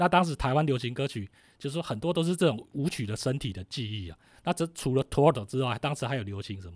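At a very fast pace, the somewhat breathy voice moves with lively intonation and big swings in loudness, on a very clean recording with a silent background. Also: man, medium pitch for a man. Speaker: writer and music historian. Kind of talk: interview about music history.

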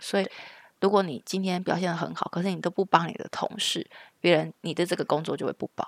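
There's vocal fry in this woman's fairly low voice. The sound is dry and close, with no echo. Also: very clean recording, silent background. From Taiwan. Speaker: podcast co-host, mother. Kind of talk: casual chat.

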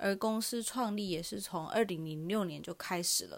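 Over a silent background in a very clean recording, a woman talks fairly slowly at medium pitch with lively intonation. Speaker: podcast host, recruiter. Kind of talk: casual monologue.

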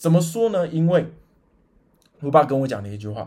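Somewhat breathy and dark, mellow in tone, a man's voice moves at a fairly quick pace through very wide pitch swings. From Taiwan, Chiayi. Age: 30s. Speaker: podcast host, amateur go player. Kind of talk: personal storytelling monologue. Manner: animated.

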